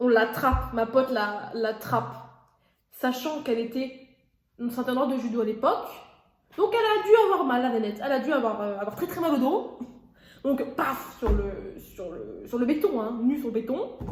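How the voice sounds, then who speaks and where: In a room with audible echo, a woman with a high voice speaks with lively intonation and long, frequent pauses. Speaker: YouTuber. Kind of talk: casual storytime while cooking. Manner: fast; stammering repetitions.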